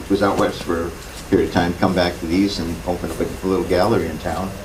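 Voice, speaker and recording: Speaking very fast in a very deep, low pitch, a man is heard with audible room echo and noticeable background noise. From Massachusetts. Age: 60s. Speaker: wood carver. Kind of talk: talk to a seminar audience. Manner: halting, with many fillers.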